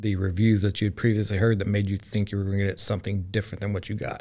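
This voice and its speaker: A man with a Central Texas accent, fairly low in pitch and flat, monotone in intonation. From Texas, Groesbeck. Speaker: restaurant owner. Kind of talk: casual interview.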